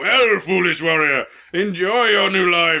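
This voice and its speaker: Someone performs a put-on character voice, speaking loud. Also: man, high pitch for a man, fairly slow pace. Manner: mocking, menacing.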